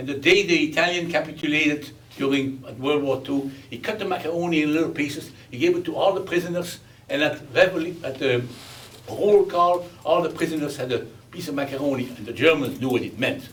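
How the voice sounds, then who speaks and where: A man's fairly high voice at a fairly quick pace, with ordinary pitch variation, noticeable background noise and audible room echo. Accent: Belgian. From Belgium. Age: 80s+. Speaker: war survivor. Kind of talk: testimony.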